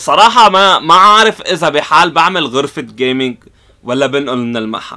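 Lively intonation and a bright, sharp tone mark this voice with a Lebanese accent against a quiet background. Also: man. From Lebanon. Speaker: YouTuber, console repair technician; repair channel host. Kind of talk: casual Q&A vlog. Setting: in his repair shop. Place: workshop.

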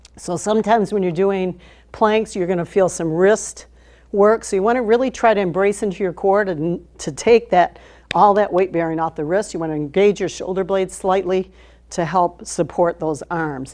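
A woman talks at a moderate speed, her pitch rising and falling in an ordinary way, with a quiet background behind her. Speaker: fitness instructor. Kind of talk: tutorial. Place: studio. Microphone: lapel.

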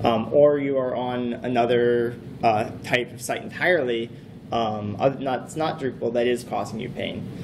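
With noticeable background noise behind him, a man speaks at a moderate pace and with fairly even intonation. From US, Boston. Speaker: conference speaker, web developer. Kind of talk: technical talk. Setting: stage with audience. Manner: halting. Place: hall.

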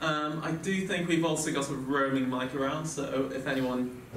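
Light background noise sits under the voice, and the room echo is audible. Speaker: panel moderator. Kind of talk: panel discussion. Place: hall. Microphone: podium.

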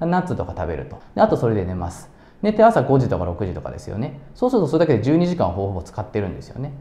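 Very fast male speech at a medium pitch, with very wide pitch swings, big swings in loudness and audible room echo. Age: 30s. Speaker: business owner and self-improvement YouTuber; self-improvement YouTuber. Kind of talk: tutorial. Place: home room. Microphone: lapel.

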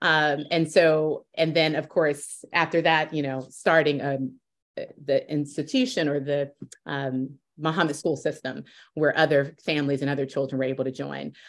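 A woman with a Southern US accent speaks in a very deep, low pitch at a moderate pace. Her intonation is fairly even, and the background is quiet. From US South. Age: 40s. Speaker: interviewer. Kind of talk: interview. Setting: video call. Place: home room. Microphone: video call.

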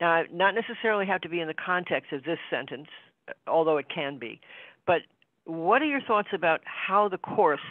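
Fairly quick speech, with a quiet background and a dry sound with no echo. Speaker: spiritual study group participant. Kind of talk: casual group discussion. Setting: video call. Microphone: video call.

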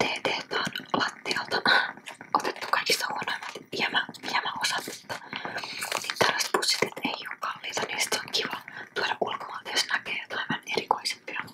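A woman whispers in a relaxed tone. Her pauses are long and frequent. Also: moderate pace. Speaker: ASMR creator. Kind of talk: ASMR tea collection showcase. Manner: whispered, close-up, relaxed. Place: home room. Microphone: studio mic.

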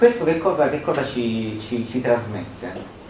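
A man at medium pitch, lively intonation and moderate pace, with light background noise and audible room echo. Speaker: musicologist; presenter. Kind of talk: seminar talk. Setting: seminar room with live audience. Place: hall.

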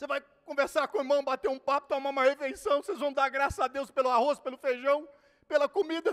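A man with an extremely high pitch is heard in a dry, close sound with no echo. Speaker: pastor. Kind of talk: sermon. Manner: animated.

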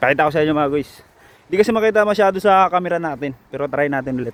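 The pace is very fast. A man talks with very wide pitch swings. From Philippines, Santa Catalina. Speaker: vlogger. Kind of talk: casual vlog narration. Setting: outdoors by the sea. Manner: animated.

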